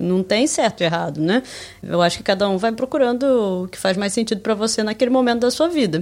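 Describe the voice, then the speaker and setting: Her intonation lively, a woman rattles along at a very fast pace. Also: fairly high pitch for a woman. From Brazil, Rio de Janeiro state. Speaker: podcast co-host. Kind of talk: casual chat.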